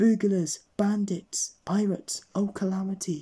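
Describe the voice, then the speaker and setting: A put-on character voice at a middle pitch, delivered at a fairly slow pace. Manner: stammering, panicked.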